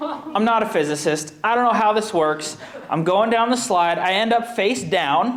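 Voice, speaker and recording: Speaking at a moderate pace with lively intonation, a man is heard with audible room echo. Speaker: comedian. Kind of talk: stand-up. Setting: stage with audience.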